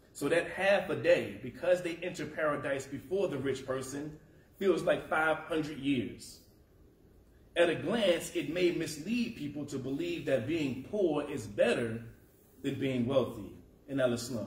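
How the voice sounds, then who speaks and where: Amid audible room echo, a man speaks at a fairly slow pace with ordinary pitch variation. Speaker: preacher. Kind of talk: sermon. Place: church.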